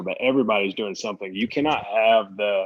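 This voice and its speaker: Someone speaks at a fairly quick pace in an unremarkable speaking voice with fairly even intonation. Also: man. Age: 30s. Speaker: professional golfer. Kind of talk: interview. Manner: casual, conversational.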